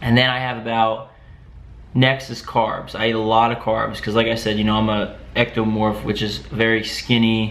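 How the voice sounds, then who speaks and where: A man speaks at a moderate pace in a medium pitch. Noticeable background noise runs underneath. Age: 20s. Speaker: fitness vlogger. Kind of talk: casual talk to camera.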